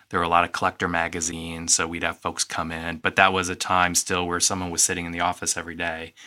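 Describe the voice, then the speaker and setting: A man talks at a very fast pace with a very deep, low pitch and a bright, sharp tone. His intonation is monotone and flat on a very clean recording with a silent background. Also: hardly any pauses. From US Midwest, East Moline, Illinois. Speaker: corporate heritage manager. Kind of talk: radio interview.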